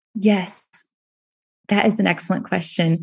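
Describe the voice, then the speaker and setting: A woman's somewhat breathy, dark and mellow voice at medium pitch and a moderate pace, over a quiet background. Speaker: university instructor and author. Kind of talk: casual interview conversation.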